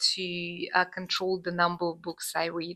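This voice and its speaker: A woman speaks with a non-native accent. Her tone is bright and sharp. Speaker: booktuber. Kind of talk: casual vlog talk to camera. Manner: hesitant, many filler sounds.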